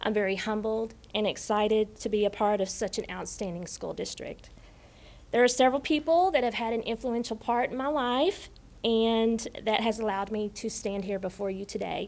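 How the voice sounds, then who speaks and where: Speaking at a moderate pace in a Tennessee accent, a woman uses a fairly high pitch and ordinary pitch variation. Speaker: new assistant principal. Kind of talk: acceptance speech. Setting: school board meeting.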